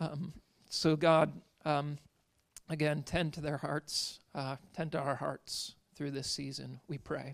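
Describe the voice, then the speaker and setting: With vocal fry and a fairly high pitch, a man speaks very slowly in a monotone, flat intonation. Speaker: church pastor. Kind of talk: church announcements and prayer. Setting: church.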